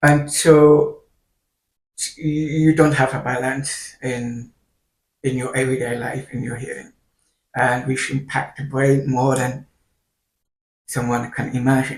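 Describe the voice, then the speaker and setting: Somewhat breathy, a man speaks at a fairly slow pace in a monotone, flat intonation with long, frequent pauses. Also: medium pitch for a man. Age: 30s. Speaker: video creator with hearing loss and kidney failure. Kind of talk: personal vlog monologue. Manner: halting.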